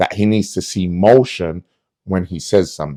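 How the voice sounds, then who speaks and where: Dark, mellow tone in a dry, close sound with no echo. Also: man. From London. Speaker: close protection officer. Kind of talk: casual storytelling monologue.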